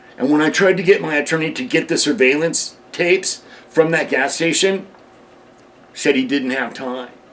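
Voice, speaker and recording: At a moderate pace, a man with a fairly high pitch uses ordinary pitch variation in a plain, everyday voice. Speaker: heavy equipment operator. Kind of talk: interview answer.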